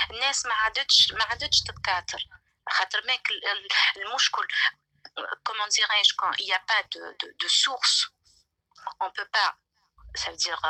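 A woman speaks at a fairly slow pace, with long, frequent pauses. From Algeria. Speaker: caller. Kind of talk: call-in opinion. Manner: halting.

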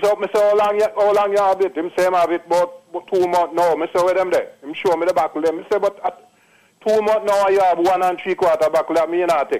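In a Jamaican accent, a man with a high pitch talks at a very fast pace with monotone, flat intonation. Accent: Jamaican Patois. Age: 60s. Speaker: caller. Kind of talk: testimony.

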